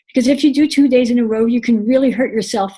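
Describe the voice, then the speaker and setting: A woman's fairly quick, somewhat breathy speech, fairly high in pitch with ordinary variation and a dark, mellow tone. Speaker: patient sharing experience. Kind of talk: educational presentation. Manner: fast.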